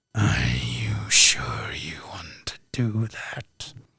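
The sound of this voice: This put-on character voice is very deep, low and raspy, with a growl. It sounds menacing and moves at a very slow pace.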